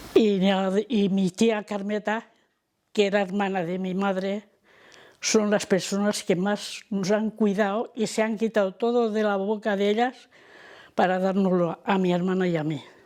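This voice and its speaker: Fairly slow, monotone, flat intonation from a woman. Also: medium pitch for a woman. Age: 80s+. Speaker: elderly daughter of a repression victim. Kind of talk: testimony.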